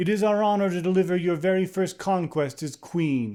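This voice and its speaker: A put-on character voice from a man, pitched high, moderate in pace. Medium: read story. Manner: formal, restrained.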